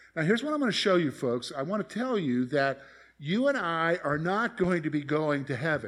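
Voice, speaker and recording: A man's fairly high-pitched, ordinary speaking voice with an American accent and lively intonation, at a moderate pace on a very clean recording with a silent background. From US South, South Carolina (Columbia). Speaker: pastor. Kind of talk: sermon. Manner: conversational.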